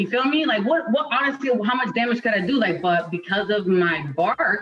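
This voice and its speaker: Over noticeable background noise, a woman with an American accent talks fairly quickly in an animated tone, her high pitch swinging very widely. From Connecticut / New York area. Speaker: Marine veteran. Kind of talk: casual interview chat.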